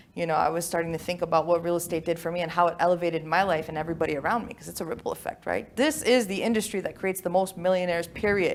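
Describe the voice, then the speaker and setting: With an American accent, a woman talks at a very fast pace in an animated tone, her fairly low pitch showing ordinary pitch variation. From US, moved from Albania at age five. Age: 30s. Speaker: real estate developer and life coach. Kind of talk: interview. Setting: podcast.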